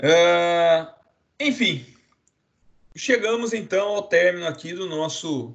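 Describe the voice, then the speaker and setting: A man speaking at a very slow pace. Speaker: law professor. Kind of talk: online lecture.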